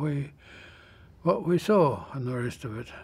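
A man with an Australian accent, speaking at a fairly slow pace. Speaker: World War II veteran, former merchant navy radio officer. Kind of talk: elder life story, unhurried and reflective war memoir told to an interviewer. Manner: slow, halting, with frequent 'uh' fillers and restarts; plainspoken and matter-of-fact, even about ships blowing up. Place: studio. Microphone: lapel.

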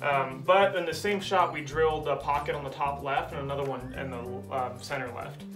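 Fairly quick male speech with ordinary pitch variation over clear music in the background. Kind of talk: casual explanation.

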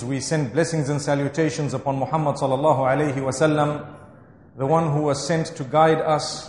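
A man's fairly high voice in a monotone, flat intonation, fairly quick in pace, with audible room echo. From Zimbabwe. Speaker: Islamic scholar and imam; motivational speaker. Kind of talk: religious lecture. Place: hall.

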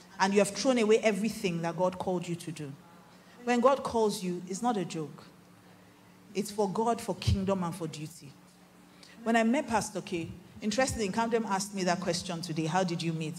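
A woman's somewhat breathy, animated voice in a Nigerian accent, medium in pitch with ordinary pitch variation, at a fairly quick pace with long, frequent pauses, over light background noise. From Nigeria, Igbo-speaking region. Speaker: pastor. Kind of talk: sermon. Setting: stage with audience. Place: stage.

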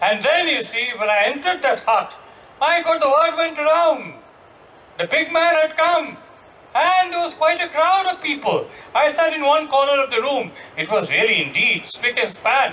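This man, with an Indian accent, uses a raised, projected voice at an extremely high pitch. His pitch variation is ordinary. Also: moderate pace. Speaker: journalist. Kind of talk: panel discussion. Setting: stage with audience. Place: stage. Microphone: handheld.

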